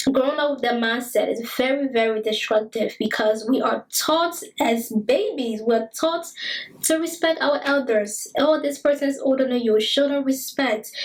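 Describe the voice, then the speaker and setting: The speaker has a Liberian accent. Pitch variation is ordinary. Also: woman, high pitch for a woman, moderate pace. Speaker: talk show host. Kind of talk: monologue commentary. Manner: repetitive emphatic.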